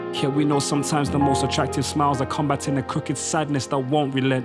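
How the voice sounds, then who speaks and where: Against music in the background, a man with a fairly high pitch speaks at a very fast pace with fairly even intonation. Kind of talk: spoken word poetry performance.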